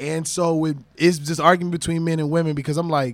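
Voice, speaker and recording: At a moderate pace, a man speaks in a high pitch on a very clean recording with a silent background. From US Midwest. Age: 30s. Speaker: podcast host. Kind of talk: casual chat. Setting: studio.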